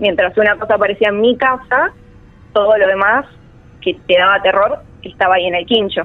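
Pausing long and often, a woman with a Rioplatense accent speaks at a fairly quick pace with ordinary pitch variation. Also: medium pitch for a woman. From Argentina, Buenos Aires. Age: 20s. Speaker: storyteller guest. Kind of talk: personal testimony. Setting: remote call.

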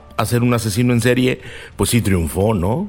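Noticeable background noise behind a male voice at medium pitch. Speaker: co-host on serial killers. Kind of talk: casual expert conversation. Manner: conversational, fillers, repetition.

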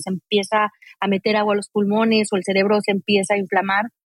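A woman's fairly high voice at a fairly quick pace. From Mexico, Aguascalientes. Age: 40s. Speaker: mountaineer. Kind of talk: interview conversation.

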